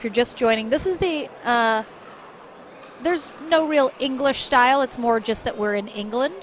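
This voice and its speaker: Lively in intonation, a woman with a Michigan accent speaks at a moderate pace in a fairly high pitch. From US Midwest, Michigan. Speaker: sports commentator. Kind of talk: live commentary.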